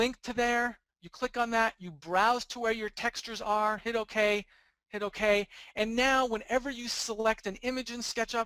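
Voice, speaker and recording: In a raised, projected voice, a man speaks with a bright, sharp tone at an extremely high pitch, his intonation fairly even and the sound dry and close with no echo. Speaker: 3D rendering instructor and author. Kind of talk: webinar tutorial presentation. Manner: fast.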